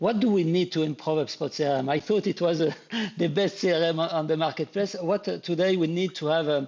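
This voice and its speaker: With a French accent, this man talks at a fairly quick pace in a fairly high pitch, keeping his intonation fairly even. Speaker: live stream host. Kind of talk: interview on a live stream. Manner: halting, many repetitions.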